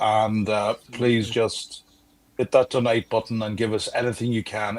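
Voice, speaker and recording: In an Irish accent, a man speaks at a moderate pace with a medium pitch and monotone, flat intonation. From Ireland, South Dublin. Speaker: livestream fundraiser guest. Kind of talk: charity livestream appeal.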